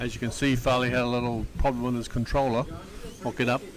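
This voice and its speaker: There is noticeable background noise behind this man. He speaks fairly quickly at a medium pitch. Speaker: slot car race commentator. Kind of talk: live commentary. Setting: slot car raceway, live stream. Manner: mumbling; animated.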